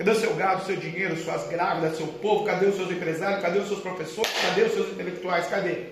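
A man talks fairly quickly and with fairly even intonation, with room echo audible and background noise noticeable. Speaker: minister leading deliverance prayer. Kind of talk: charismatic deliverance prayer and altar ministry. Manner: rapid-fire commanding declarations, long shouted lists; forceful, authoritative.

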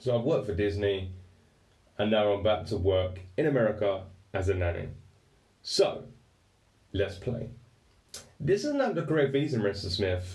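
Over audible room echo, a man with an English accent talks at a moderate pace in a fairly low, somewhat breathy voice, with ordinary pitch variation and long, frequent pauses. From England. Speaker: podcast host. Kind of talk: storytelling monologue. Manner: casual, halting.

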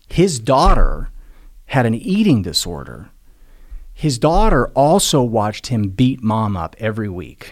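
Using a medium pitch with vocal fry, a man speaks at a fairly slow pace with very wide pitch swings. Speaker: motivational speaker and addiction recovery advocate. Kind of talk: casual interview conversation.

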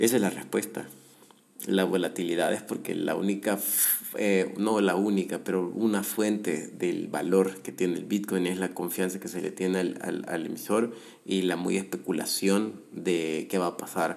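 Here a man speaks at a fairly slow pace with a very deep, low pitch. His intonation is monotone and flat. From El Salvador. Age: 30s. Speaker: podcast host, economist. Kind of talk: solo commentary podcast. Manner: halting, many repetitions and fillers.

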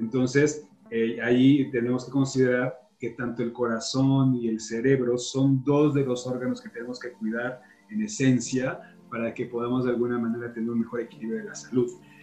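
Against noticeable background noise, a man speaks at a moderate pace with a medium pitch and fairly even intonation. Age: 40s. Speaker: health podcaster. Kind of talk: interview. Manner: hesitant.

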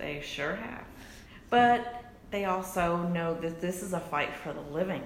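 A woman speaks at a fairly slow pace in a fairly low voice with ordinary pitch variation, and there is noticeable background noise. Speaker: podcast co-host. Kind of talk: casual chat.

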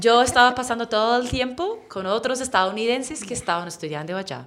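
Lively intonation at a moderate pace, in an English accent. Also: woman. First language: English (speaking Spanish). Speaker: English teacher. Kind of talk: interview.

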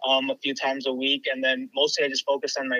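A man with an American accent speaks at a fairly quick pace. The sound is dry and close, with no echo. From Chicago. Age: 20s. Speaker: podiatry student. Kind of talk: casual interview.

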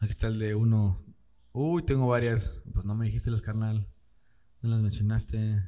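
A man talks at a moderate pace with long, frequent pauses. His fairly low pitch shows ordinary variation. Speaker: podcast host. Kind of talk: casual chat. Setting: studio with camera. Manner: casual, laughing often.

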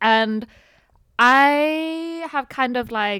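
Lively intonation lifts this woman's bright, sharp tone. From Sweden. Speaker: podcast co-host. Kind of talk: casual chat.

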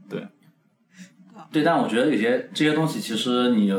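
Speaking at a moderate pace, a man uses a fairly high voice with very wide pitch swings. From Kunming, Yunnan, China. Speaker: podcast co-host. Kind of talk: casual chat.

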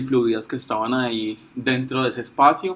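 A man with a normal speaking voice talks at medium pitch and a fairly slow pace, his intonation fairly even. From Colombia, Pereira area. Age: 20s. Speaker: law student and activist. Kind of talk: reflective talk / explainer.

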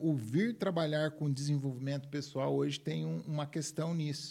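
This voice has a dark, mellow tone, sounds somewhat breathy and moves at a moderate pace. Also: man. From Minas Gerais, Brazil; raised in São Paulo state from age 10. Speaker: personal development speaker. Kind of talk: interview conversation.

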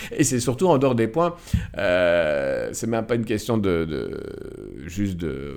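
A man talks at a fairly slow pace with very wide pitch swings over noticeable background noise. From Belgium, Nivelles (Walloon Brabant), Moroccan roots. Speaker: film editor and director. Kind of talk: casual interview. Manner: halting, many repetitions and hesitations.

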